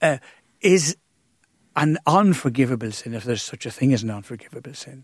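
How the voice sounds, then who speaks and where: In an Irish accent, a man speaks at medium pitch and a moderate pace, the sound dry and close with no echo on a very clean recording with a silent background. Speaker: priest. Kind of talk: radio interview. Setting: studio.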